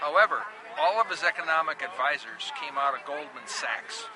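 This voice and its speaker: A high-pitched man in an Upper Midwest accent, with lively intonation, a moderate pace and noticeable background noise. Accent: Upper Midwest American. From Minnesota. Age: 60s. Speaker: protester. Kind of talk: street interview. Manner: animated.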